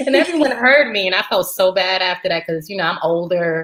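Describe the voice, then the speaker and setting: Lively intonation from a woman with an American accent, an ordinary speaking voice, medium pitch and a moderate pace. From New York. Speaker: military veteran. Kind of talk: casual chat. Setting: livestream.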